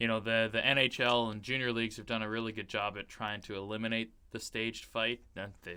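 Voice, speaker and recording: A man's medium-pitched voice, bright and sharp in tone, with a Canadian accent, a fairly quick pace and flat, monotone intonation. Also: hardly any pauses. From Canada, Vancouver Island (Comox Valley). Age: 20s. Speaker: hockey play-by-play broadcaster. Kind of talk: casual podcast interview.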